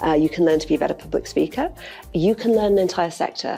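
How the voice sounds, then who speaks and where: A woman speaks very fast in a Yorkshire accent at a fairly low pitch. Her pitch varies in an ordinary way, with music in the background. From Yorkshire, northern England. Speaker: law firm partner. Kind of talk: interview. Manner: informal; direct.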